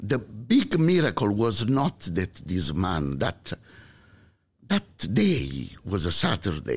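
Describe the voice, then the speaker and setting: Speaking in an Italian accent at a very slow pace, the voice carries vocal fry and very wide pitch swings. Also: man, fairly low pitch for a man. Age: 60s. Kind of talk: testimony.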